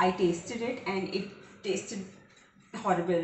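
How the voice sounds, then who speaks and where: A woman talks at a moderate pace with ordinary pitch variation, her voice carrying audible room echo over light background noise. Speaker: home cooking vlogger. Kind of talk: casual vlog chat. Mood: playful storytelling. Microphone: camera far.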